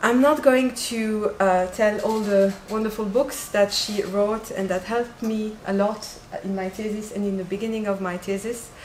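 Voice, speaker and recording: With a non-native accent, a woman speaks at a fairly high pitch and a moderate pace with fairly even intonation, amid audible room echo and noticeable background noise. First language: French. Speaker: doctoral researcher and event organizer. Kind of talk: conference introduction. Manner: hesitant, many fillers.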